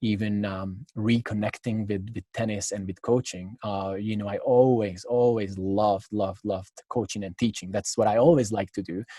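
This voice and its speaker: Dry and close with no echo, a man in a Hungarian accent speaks at fairly low pitch with a dark, mellow tone and fairly even intonation. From Hungary, Budapest. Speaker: tennis coach. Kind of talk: interview. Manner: halting, many fillers.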